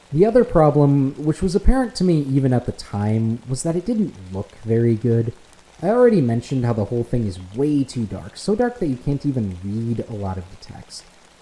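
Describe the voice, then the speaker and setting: An American accent comes through at a fairly quick pace, with noticeable background noise. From United States. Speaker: independent filmmaker and video essayist. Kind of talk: scripted narration.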